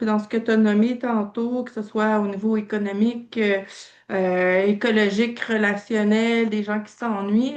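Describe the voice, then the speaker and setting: At a moderate pace, a woman with a slight Quebec accent and a fairly high pitch speaks with fairly even intonation against a quiet background. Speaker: training participant. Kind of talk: casual feedback in online meeting. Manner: hesitant, many fillers.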